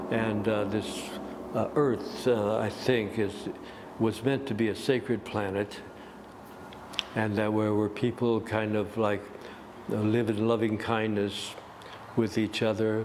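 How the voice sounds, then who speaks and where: Over noticeable background noise, a man speaks fairly slowly in a fairly low, monotone voice with very even loudness and long, frequent pauses. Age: 80s+. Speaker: gong master and yoga teacher. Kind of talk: interview answer.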